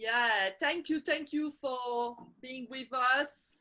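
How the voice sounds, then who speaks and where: Speaking very slowly, a woman uses a high pitch and a bright, sharp tone with ordinary pitch variation. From Belgium and Portugal. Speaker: women's circle facilitator. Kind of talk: online video call conversation. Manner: halting, many fillers.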